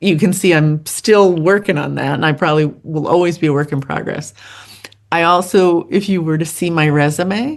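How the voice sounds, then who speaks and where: With ordinary pitch variation, a woman speaks in a very deep, low voice. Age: 60s. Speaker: podcaster and social worker sharing personal story. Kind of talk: interview conversation. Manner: animated.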